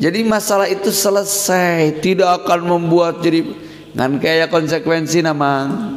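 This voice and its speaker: With a West Javanese accent, a man speaks fairly slowly at a high pitch, with ordinary pitch variation and very even loudness, against noticeable background noise. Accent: Sundanese. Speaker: Islamic boarding school leader and cleric. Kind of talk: religious scripture lecture.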